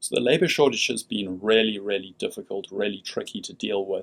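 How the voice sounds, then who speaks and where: A man speaks with a South African accent. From South Africa, Cape Town. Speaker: company CEO. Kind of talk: radio interview.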